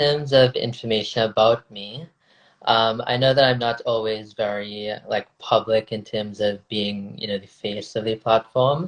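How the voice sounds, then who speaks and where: Speaking with an American accent at a fairly slow pace, a man with a medium-pitched voice keeps a fairly even intonation while his loudness swings widely. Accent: Indo-Caribbean. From South Florida, Indo-Trinidadian community. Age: 20s. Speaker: podcaster and researcher. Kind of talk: casual interview chat.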